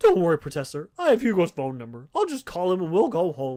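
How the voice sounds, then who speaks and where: On a very clean recording with a silent background, a man uses a put-on character voice at a high pitch and a fairly quick pace. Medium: read story.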